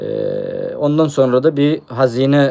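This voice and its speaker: The speaker is a man. His tone is dark and mellow. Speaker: treasure hunting YouTuber. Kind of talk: live stream chat. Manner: hesitant, many fillers.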